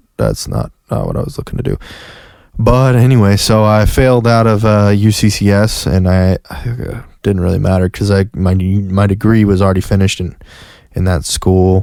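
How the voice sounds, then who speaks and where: With an American accent, the voice has a dark, mellow tone, fairly even intonation, and a moderate pace on a very clean recording with a silent background. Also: man, fairly low pitch for a man. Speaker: podcast host. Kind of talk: casual monologue. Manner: halting, many restarts and fillers.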